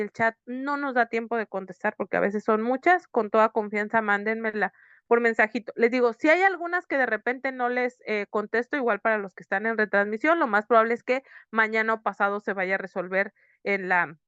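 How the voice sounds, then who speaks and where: A woman with a fairly high pitch talks at a fairly quick pace with ordinary pitch variation, in a dry, close sound with no echo and music in the background. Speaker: psychotherapist teaching workshop. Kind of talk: online lecture. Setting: online video session. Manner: fast.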